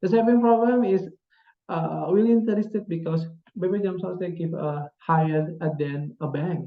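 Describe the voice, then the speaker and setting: At a moderate pace, a man with an Indonesian accent speaks with a high pitch and ordinary pitch variation. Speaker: graduate student. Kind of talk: presentation. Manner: halting.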